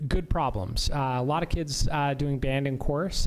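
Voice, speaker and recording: Fairly high in pitch, a man speaks with fairly even intonation. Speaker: school administrator. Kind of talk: school board meeting report. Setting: public meeting. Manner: fast.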